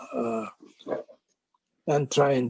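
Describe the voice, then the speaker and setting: Recorded with a dry, close sound and no echo, a man speaks at a very slow pace in a medium pitch. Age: 70s. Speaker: doctor, former medical board chair. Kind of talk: interview answer.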